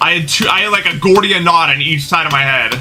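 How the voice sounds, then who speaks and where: Music plays in the background. A man with an American accent talks at a fairly quick pace. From US Midwest (Ohio). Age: 20s. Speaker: gaming streamer. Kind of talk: casual live-stream chat.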